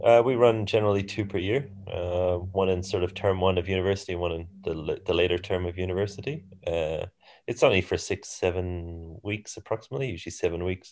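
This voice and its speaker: In an Irish accent, a man with a very deep, low voice talks fairly quickly with fairly even intonation. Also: quiet background. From Ireland. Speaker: handball coach. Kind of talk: casual chat.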